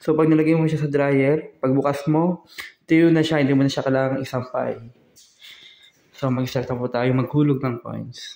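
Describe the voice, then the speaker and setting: Soft-spoken, a man with a fairly high pitch talks at a moderate pace with monotone, flat intonation. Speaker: vlogger. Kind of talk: vlog walkthrough. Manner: soft-spoken, quiet.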